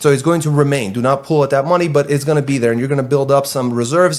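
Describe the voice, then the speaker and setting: The pace is very fast. Pitch varies in an ordinary way. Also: man. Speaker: truck dispatch company owner. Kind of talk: tutorial. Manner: halting.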